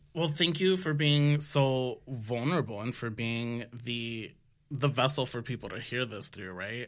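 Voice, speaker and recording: With a plain, everyday voice, a man talks at a fairly slow pace in a medium pitch, showing ordinary pitch variation and big swings in loudness. The recording is very clean, with a silent background. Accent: American. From New York City (Washington Heights), Dominican family. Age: 30s. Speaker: health startup founder. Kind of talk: casual interview. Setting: studio, seated at a table.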